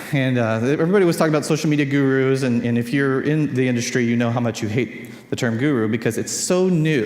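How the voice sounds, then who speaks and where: Someone with a Californian accent talks at a very fast pace, with audible room echo and noticeable background noise. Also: man. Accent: Californian American English. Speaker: conference speaker on social media. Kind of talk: conference talk. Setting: stage with audience.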